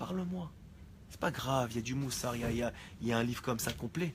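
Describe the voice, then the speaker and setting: A man's somewhat breathy voice at a very fast pace. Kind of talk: religious class. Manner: soft-spoken; halting.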